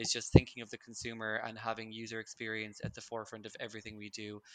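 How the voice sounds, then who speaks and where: In a Limerick accent, a man talks very fast at medium pitch with flat, monotone intonation. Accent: Irish (Limerick). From Ireland, Limerick. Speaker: marketing manager. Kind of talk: interview.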